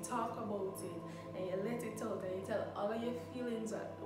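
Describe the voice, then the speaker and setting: A woman at a moderate pace, with audible room echo and loud music in the background. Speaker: content creator. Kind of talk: casual vlog chat. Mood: warm, reflective. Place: kitchen. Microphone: phone near.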